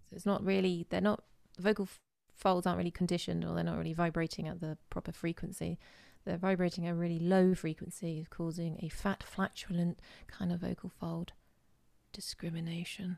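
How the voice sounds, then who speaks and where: A woman with an English accent talks at a fairly quick pace and fairly low pitch. Her tone is dark and mellow, on a very clean recording with a silent background. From England. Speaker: voice coach. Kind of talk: casual chat. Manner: animated.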